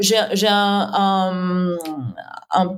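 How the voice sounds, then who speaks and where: A woman's voice at a medium pitch, with noticeable background noise. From southeastern France. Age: 30s. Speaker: SEO and content agency owner. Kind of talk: interview.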